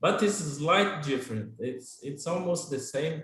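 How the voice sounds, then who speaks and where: There is audible room echo as a man with a Portuguese accent speaks. His pitch is fairly high, with ordinary variation. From Brazil, Goiás. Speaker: Brazilian immigrant interviewee. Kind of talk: casual interview in English class livestream. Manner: hesitant with fillers and repetitions.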